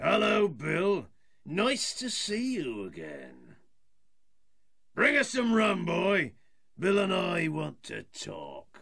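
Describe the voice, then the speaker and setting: A put-on character voice moves at a very slow pace with long, frequent pauses. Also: man, high pitch for a man. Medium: audio drama.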